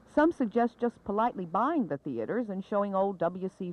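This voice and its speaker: A woman talks at a fairly quick pace. The sound is dry with no echo. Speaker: TV news reporter. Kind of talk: 1970s TV news report, scripted narration. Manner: formal, measured, polished broadcast delivery. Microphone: old recording.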